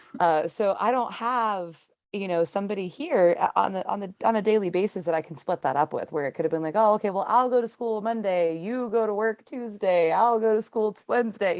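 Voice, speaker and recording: Against a quiet background, a woman with an unremarkable speaking voice speaks. Her pitch is medium and her pace fairly quick. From Pittsburgh, Pennsylvania. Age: 20s. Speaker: student, single mother. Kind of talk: podcast interview answer. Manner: casual, chatty.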